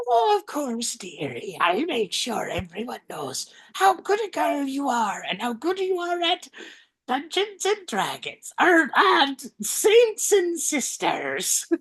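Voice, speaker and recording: A put-on character voice speaks at a high pitch and a fairly slow pace. Its pitch swings very widely. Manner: sweetly reassuring.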